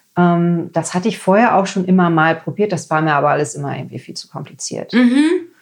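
A woman with fairly low pitch speaks at a very fast pace with hardly any pauses. Her pitch variation is ordinary, but her loudness swings widely. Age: 40s. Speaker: lab technician and ayurveda cook. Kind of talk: casual interview chat.

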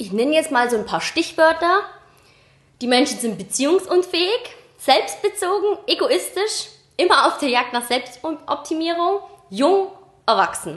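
A woman's extremely high voice with very wide pitch swings, long and frequent pauses, and noticeable background noise. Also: fairly slow pace. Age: 20s. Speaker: podcast co-host. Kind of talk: casual chat.

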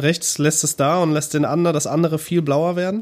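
Fairly quick speech from a man in a monotone, flat intonation. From North Rhine-Westphalia. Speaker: sound and music producer. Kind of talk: casual chat.

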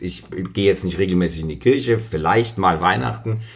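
This man's voice carries vocal fry and ordinary pitch variation. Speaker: podcast guest. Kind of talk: casual chat. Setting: dressing room.

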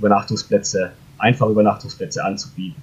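A man speaks in a somewhat breathy voice. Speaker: startup founder. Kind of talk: interview. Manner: hesitant with many fillers.

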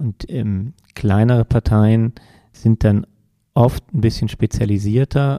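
A man speaks at a very slow pace, his pitch medium and intonation fairly even. His tone is dark and mellow. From Koblenz area, Rhineland-Palatinate, Germany. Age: 40s. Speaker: politician. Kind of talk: interview. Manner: hesitant with fillers.

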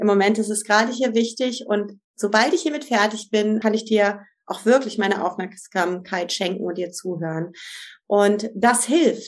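At a moderate pace, a woman speaks in a plain, everyday voice with a fairly high pitch and ordinary pitch variation. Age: 50s. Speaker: family and couples coach. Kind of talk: interview.

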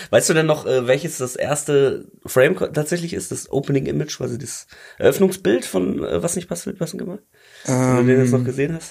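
A man's fairly high voice with vocal fry, a fairly quick pace and lively intonation. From Ruhr area, Germany. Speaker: podcast host. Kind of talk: casual chat. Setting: recording together standing in one room.

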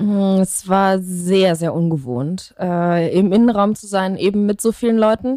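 A woman with a dark, mellow tone talks at a very slow pace with hardly any pauses. Her pitch varies in an ordinary way while her loudness swings widely. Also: medium pitch for a woman. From Germany, Leverkusen (Rhineland). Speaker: musician. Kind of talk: casual interview.

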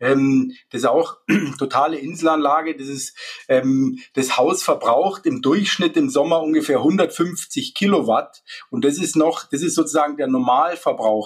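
Lively intonation runs through this man's fairly high voice. He speaks at a fairly slow pace. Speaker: solar installer. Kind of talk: interview. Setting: remote call. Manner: halting, many fillers.

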